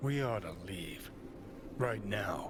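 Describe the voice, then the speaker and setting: A man uses a put-on character voice at a fairly low pitch. Loud background noise runs underneath. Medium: video game. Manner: crude, sardonic.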